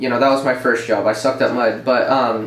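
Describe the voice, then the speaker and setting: A man speaks at medium pitch. Noticeable background noise and audible room echo surround him. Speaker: former program student, construction worker. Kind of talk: casual chat. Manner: mellow.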